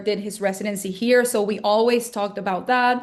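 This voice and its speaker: The speech comes at a fairly quick pace with flat, monotone intonation. The background is quiet. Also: woman. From Venezuela. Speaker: dentist. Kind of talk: interview.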